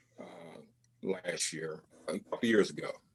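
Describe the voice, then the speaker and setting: A man talks at a fairly slow pace. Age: 60s. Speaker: amateur cyclist. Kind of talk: testimony. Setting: video call. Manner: halting.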